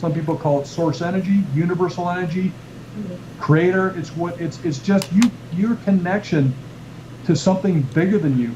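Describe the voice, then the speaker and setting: A man speaks at a moderate pace in a high pitch, with ordinary pitch variation. He leaves long, frequent pauses, and there is noticeable background noise. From Canada. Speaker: chiropractor and author who teaches a healing technique. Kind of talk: explaining a health and wellness technique on a radio show. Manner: conversational, repeats words while explaining.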